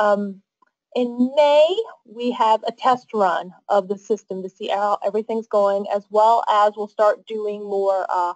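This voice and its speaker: A woman with a fairly high pitch uses a normal speaking voice with ordinary pitch variation. The sound is dry and close, with no echo. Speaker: council staff presenter. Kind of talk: webinar presentation.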